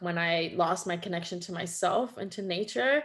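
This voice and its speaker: Against a quiet background, a woman with a Quebec accent speaks at a medium pitch and a moderate pace. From Quebec, Canada. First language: French. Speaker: holistic nutritionist. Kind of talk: interview conversation.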